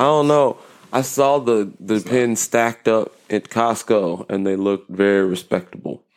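This man has an unremarkable speaking voice with a medium pitch and ordinary pitch variation. He talks at a moderate pace. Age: 30s. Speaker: podcast co-host, basketball coach for kids. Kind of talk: casual chat.

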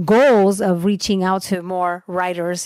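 A woman with an ordinary speaking voice talks at a fairly slow pace, at medium pitch with fairly even intonation. The recording is very clean with a silent background and a dry, close sound with no echo. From Mexican American. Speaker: podcaster. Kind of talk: casual chat.

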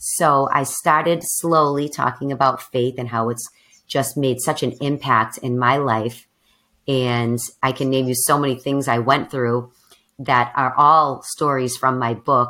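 At a fairly slow pace, a woman speaks with extremely low pitch, a bright, sharp tone and fairly even intonation.

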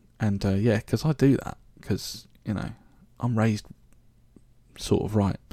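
This man talks at a fairly low pitch, his dark, mellow tone carried by fairly even intonation. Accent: southern English. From southern England, Reading (Berkshire). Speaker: podcast host. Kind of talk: casual monologue. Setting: home recording. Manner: hesitant, many fillers.

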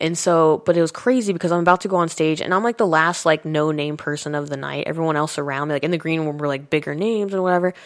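Speaking very fast with hardly any pauses, in an American accent with ordinary pitch variation, the voice comes through a very clean recording with a silent background. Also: woman, fairly low pitch for a woman. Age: 30s. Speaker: comedian. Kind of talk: casual chat.

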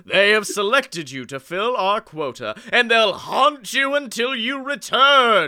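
With very wide pitch swings and a bright, sharp tone, a man speaks in a high pitch at a fairly slow pace, hardly pausing, his voice raised and projected in an animated, theatrical way. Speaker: podcast host. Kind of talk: guided tour narration, doing a playful ride-spiel parody, then riffing on the lyrics. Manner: animated, mock-theatrical, bantering and cracking up.

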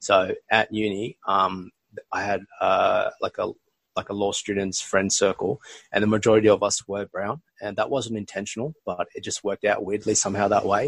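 The sound is dry and close, with no echo. This man talks in an Australian accent. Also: moderate pace. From Australia (rural NSW and southwest Sydney), Bangladeshi family. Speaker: podcast host. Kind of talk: casual chat.

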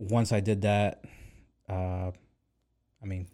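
With an American accent, a man speaks in a fairly low pitch with a dark, mellow tone and monotone, flat intonation. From US South, Arkansas (Pine Bluff). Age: 20s. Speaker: photographer. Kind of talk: casual chat.

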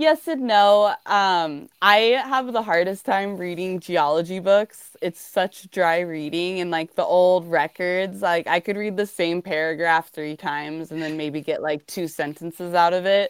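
A woman with an American accent and a normal speaking voice talks at a fairly slow pace in a fairly low pitch with ordinary pitch variation, the sound dry and close with no echo. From Montana. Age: 30s. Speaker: rockhound, miner and lapidary artist. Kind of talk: interview.

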